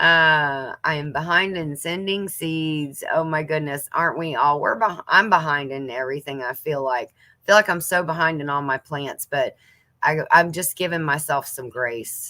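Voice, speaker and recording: With a Southern US accent, a woman speaks at a moderate pace in a very deep, low pitch, her tone bright and sharp. She uses hardly any pauses, shows ordinary pitch variation, and her loudness swings widely. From US South. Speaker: homesteading channel host. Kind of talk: casual livestream chat reading viewer comments. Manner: chatty, lots of fillers.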